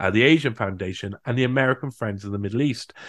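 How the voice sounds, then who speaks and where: Over a quiet background, a man speaks with a Cardiff accent. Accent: Welsh (Cardiff). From South Wales, Cardiff. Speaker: researcher and writer. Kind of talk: interview conversation.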